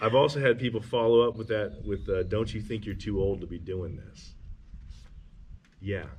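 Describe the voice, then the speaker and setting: Somewhat breathy and fairly low in pitch, a man talks at a moderate pace with ordinary pitch variation, long, frequent pauses, and big swings in loudness. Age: 50s. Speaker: homesteader building a house. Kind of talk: casual chat.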